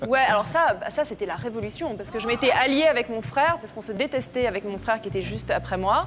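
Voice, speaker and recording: With music in the background, a woman talks at a very fast pace with hardly any pauses. Her fairly high voice makes very wide pitch swings and big swings in loudness. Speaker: former beauty queen, TV personality. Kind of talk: TV talk show interview. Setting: TV studio with audience.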